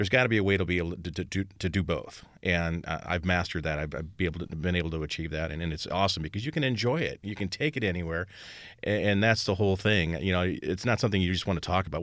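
A man with an American accent talks at a very fast pace with a very deep, low pitch and ordinary pitch variation. The background is quiet. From Indiana. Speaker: custom car shop owner. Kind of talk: casual interview.

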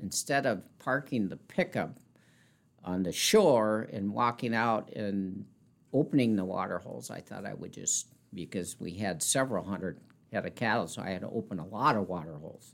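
A man speaks with an Upper Midwest accent in a fairly low pitch. His intonation is lively, and the recording is very clean with a silent background. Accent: Upper Midwest American. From South Dakota, rural north central. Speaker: car dealership manager. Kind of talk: interview.

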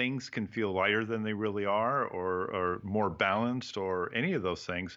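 At a fairly slow pace, a man talks in an unremarkable speaking voice with medium pitch. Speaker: photographer, writer and teacher. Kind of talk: casual interview.

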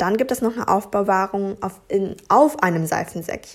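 Vocal fry colors a woman's medium-pitched voice. She speaks at a moderate pace. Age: 20s. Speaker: podcast host and blogger. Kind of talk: solo podcast, reading from notes. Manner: hesitant with fillers.

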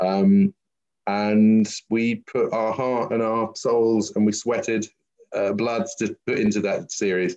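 Speaking very slowly with a London accent, a man has a medium-pitched, dark and mellow voice with ordinary pitch variation. The sound is dry and close, with no echo. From London, England. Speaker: visual effects company founder and CEO. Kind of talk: interview.

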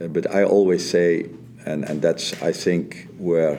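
A man speaks in a flat monotone with a Dutch accent. His pitch is very deep and low. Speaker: soccer coach. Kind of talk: interview. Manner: halting, repeats words.

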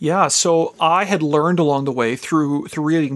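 In a Canadian Prairie accent, a man speaks at a moderate pace. His voice is fairly high. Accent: Canadian English (prairies). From Canadian prairies (Regina, Saskatchewan). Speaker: pastor and beekeeper. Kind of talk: casual interview.

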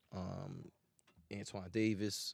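A man with an American accent, in a normal speaking voice, fairly low in pitch, with fairly even intonation and a dry, close sound with no echo. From Philadelphia. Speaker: rapper.

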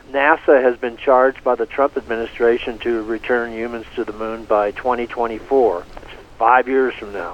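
Against noticeable background noise, a man at a medium pitch speaks at a moderate pace, with fairly even intonation and big swings in loudness. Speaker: space journalist and author. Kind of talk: casual interview.

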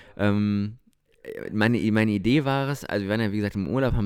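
With a plain, everyday voice, a man speaks fairly low and at a fairly quick pace, with ordinary pitch variation. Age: 20s. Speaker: podcast co-host. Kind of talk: casual chat. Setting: recording at co-host's home.

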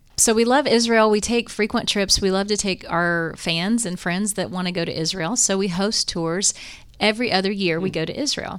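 Over a very clean recording with a silent background, a woman with an American accent talks in an ordinary speaking voice at a moderate pace, medium pitch and ordinary pitch variation. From Ohio, US. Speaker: gospel singer and mandolin player. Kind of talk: casual chat.

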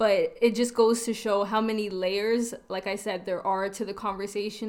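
Monotone, flat delivery at a fairly quick pace, in a Toronto accent. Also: woman. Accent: Canadian (Toronto). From Toronto, Canada (North York), Trinidadian and Guyanese family. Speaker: podcast co-host, blog editor. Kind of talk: casual group discussion.

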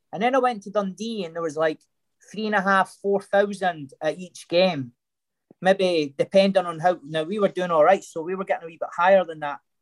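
A man with a Scottish accent talks fairly quickly in a high pitch with ordinary pitch variation. His loudness swings widely, and the sound is dry and close with no echo. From Scotland. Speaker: former footballer. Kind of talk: casual chat. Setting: video call.

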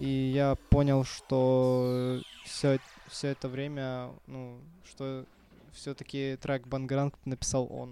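This man talks at a medium pitch in a dark, mellow tone, his intonation monotone and flat. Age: young. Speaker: DJ and music producer. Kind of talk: casual chat. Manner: halting.

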